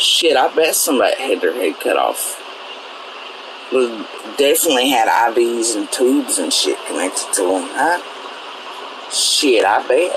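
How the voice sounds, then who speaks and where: Fairly slow speech with long, frequent pauses over noticeable background noise. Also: man. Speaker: online commentator. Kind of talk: casual rant.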